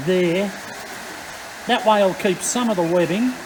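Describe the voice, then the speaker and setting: Loud and with an Australian accent, a man talks at a moderate pace in a high pitch with ordinary pitch variation. Noticeable background noise sits behind him. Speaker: engine restoration YouTuber. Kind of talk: workshop tutorial. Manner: casual, hesitant with fillers.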